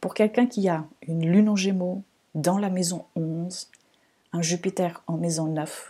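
Somewhat breathy and dark, mellow in tone, a woman's fairly low-pitched voice carries a slight non-native accent and fairly even intonation. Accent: slight, hard-to-place foreign. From Portugal, Lisbon. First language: Portuguese (speaking French). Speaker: astrologer, podcast host. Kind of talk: reflective solo podcast monologue.

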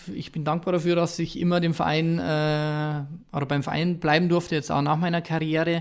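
On a very clean recording with a silent background, a man talks at a moderate pace in a fairly high pitch with monotone, flat intonation. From Bavaria, Ingolstadt area. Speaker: former professional footballer, youth football coach. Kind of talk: casual interview.

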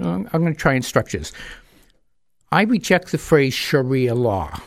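Speaking fairly slowly, a man uses an American accent. His pitch swings very widely. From New Hampshire, US (Manchester). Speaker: speaker on Islam. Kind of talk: radio interview.

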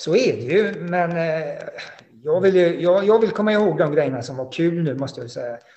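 Recorded with audible room echo and noticeable background noise, a man with a high pitch speaks at a moderate pace, with lively intonation and big swings in loudness. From Sweden, Halland (Frillesås). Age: 50s. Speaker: former racing driver. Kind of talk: interview. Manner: halting.

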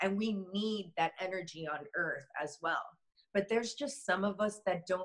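With an American accent, a woman talks at a fairly slow pace in an ordinary speaking voice at a medium pitch. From US, Miami, Florida. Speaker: shaman and energy healer. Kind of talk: interview conversation.

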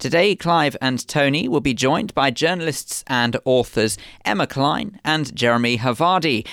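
An unremarkable speaking voice comes through a very clean recording with a silent background. The pace is moderate and the intonation lively. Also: man. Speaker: radio show host. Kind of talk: radio magazine presenting and interviewing. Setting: studio.

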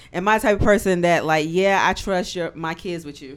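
Moderately paced, a woman speaks in a fairly low voice with ordinary pitch variation. It is an unremarkable speaking voice. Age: 30s. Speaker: author. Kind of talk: casual chat.

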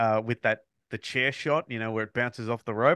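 A man speaks at a fairly quick pace with an Australian accent. The sound is dry and close with no echo, over a quiet background. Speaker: podcast host. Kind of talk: casual chat.

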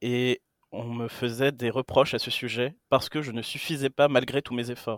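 A man at a medium pitch with monotone, flat intonation, a moderate pace and a dry, close sound with no echo. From Greece. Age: 20s. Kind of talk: casual chat.

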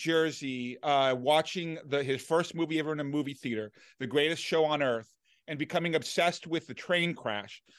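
An unremarkable speaking voice from a man, fairly high in pitch with ordinary pitch variation, against a quiet background. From Washington, D.C. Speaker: film critic. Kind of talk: casual chat.

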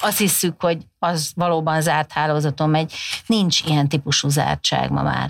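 A woman's unremarkable speaking voice at a moderate pace, with fairly even intonation, on a very clean recording with a silent background. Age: 50s. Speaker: communication researcher, professor. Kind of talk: podcast interview. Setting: studio.

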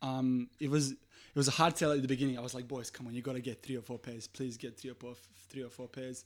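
On a very clean recording with a silent background, a man talks at a very fast pace. His Serbian accent comes with medium pitch and fairly even intonation. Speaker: swimwear business owner. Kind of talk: casual chat. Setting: studio.

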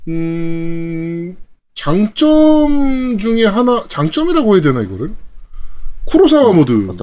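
A man with a dark, mellow tone and a high pitch speaks at a very slow pace, his pitch swinging very widely and his loudness rising and falling in big swings. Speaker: gaming podcast co-host. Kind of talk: casual chat.

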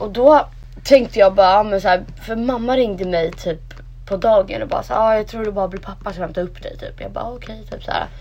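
A woman's fairly high pitch, an unremarkable speaking voice, with ordinary pitch variation, a fairly quick pace and big swings in loudness. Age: 20s. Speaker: podcast co-host. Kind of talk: casual chat.

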